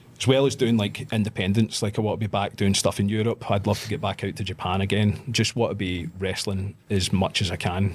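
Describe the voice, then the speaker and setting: A man with a Scottish accent talks at a fairly quick pace with hardly any pauses. His voice is fairly low and his intonation fairly even. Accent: Scottish, trained to speak clearly. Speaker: pro wrestler. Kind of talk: casual chat.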